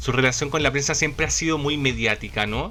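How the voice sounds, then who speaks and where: Amid noticeable background noise, the speaker sounds animated. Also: man. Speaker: YouTube channel host about a pop star. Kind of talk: podcast-style presentation with slides.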